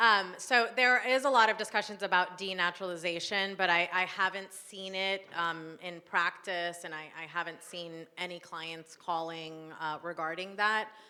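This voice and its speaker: A woman with a bright, sharp tone speaks at a medium pitch and moderate pace, hardly pausing, with ordinary pitch variation and big swings in loudness. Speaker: immigration attorney. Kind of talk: panel discussion.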